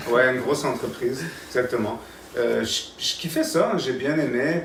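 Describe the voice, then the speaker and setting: A man at a moderate pace, medium pitch and ordinary pitch variation, with audible room echo and noticeable background noise. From Canada. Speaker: English school founder. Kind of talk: casual interview.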